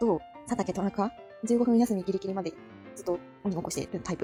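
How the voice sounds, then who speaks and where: Over music in the background, someone mumbles at a very fast pace with lively intonation. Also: woman. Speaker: anime fan hobby YouTuber. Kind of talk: casual commentary while browsing character list. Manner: mumbling, low-key.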